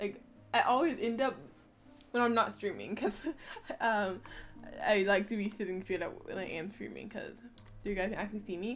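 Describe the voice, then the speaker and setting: With music playing in the background, a woman speaks at a moderate pace and a medium pitch. Her pitch varies in an ordinary way, and she takes long, frequent pauses. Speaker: streamer. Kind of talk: casual chat. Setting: live stream at home.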